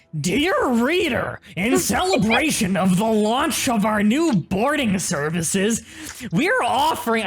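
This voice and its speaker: Using a put-on character voice, a woman delivers her lines at a fairly slow pace. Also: fairly high pitch for a woman. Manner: gremlin voice reading a note.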